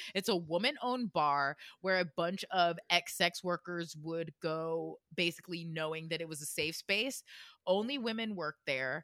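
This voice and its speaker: A woman with an American accent speaks at a moderate pace, her fairly low pitch showing ordinary variation and a bright, sharp tone. The recording is very clean, with a silent background and a dry, close sound with no echo. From Florida. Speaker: podcast co-host. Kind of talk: casual chat with storytelling.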